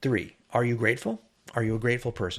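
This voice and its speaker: This man talks at a fairly quick pace in a medium, somewhat breathy voice. The recording is very clean, with a silent background. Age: 60s. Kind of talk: podcast monologue.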